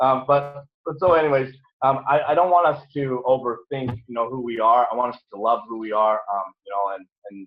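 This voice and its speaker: A man with an American accent talks at a moderate pace and fairly high pitch, with ordinary pitch variation. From Nebraska. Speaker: business coach. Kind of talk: motivational talk. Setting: video call. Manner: animated.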